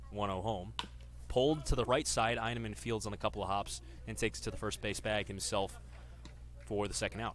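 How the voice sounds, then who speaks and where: Vocal fry runs through a man's very deep, low voice. He talks at a fairly quick pace. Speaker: sports broadcaster. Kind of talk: baseball radio play-by-play.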